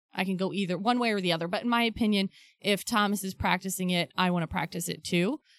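A woman with an American accent speaks at a very fast pace in a medium pitch, with ordinary pitch variation, on a very clean recording with a silent background and a dry, close sound with no echo. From Ohio. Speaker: podcast panelist and intro voice. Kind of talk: casual chat.

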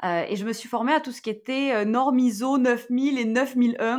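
Against a quiet background, a woman with an unremarkable speaking voice talks at a fairly slow pace with ordinary pitch variation. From southwest France, near Toulouse. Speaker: digital wellbeing expert and entrepreneur. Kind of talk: interview.

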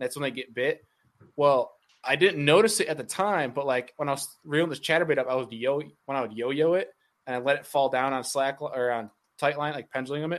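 Against a quiet background, a man with a normal speaking voice talks fairly quickly, his fairly high pitch showing ordinary variation. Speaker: bass angler and content creator. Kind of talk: casual chat.

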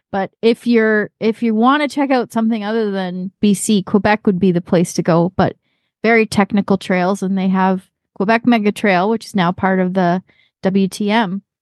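A woman with a Canadian accent speaks in a plain, everyday voice at medium pitch and a moderate pace, her intonation fairly even. The sound is dry and close with no echo, over a quiet background. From Canada. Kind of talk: casual chat.

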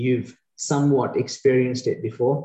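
A man with a British accent, medium pitch, moderate pace. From UK. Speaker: eye surgeon, reality show contestant. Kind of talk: interview.

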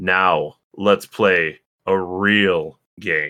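In a put-on character voice, a man bellows in a booming, very deep, low pitch. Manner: ominous.

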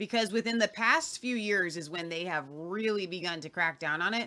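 Here is a plain, everyday voice: a woman with an American accent and medium pitch. She talks at a fairly slow pace with lively intonation. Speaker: podcast host.

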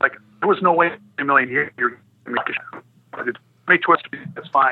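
A man speaks in a normal speaking voice, fairly high in pitch. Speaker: former hockey enforcer and pro scout. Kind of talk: casual interview. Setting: phone call.

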